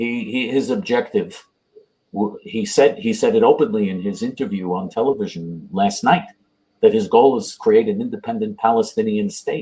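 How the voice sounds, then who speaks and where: A man's fairly high, dark and mellow voice with vocal fry, very wide pitch swings and a moderate pace. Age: 60s. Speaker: right-wing political activist. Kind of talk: interview. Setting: live online video interview.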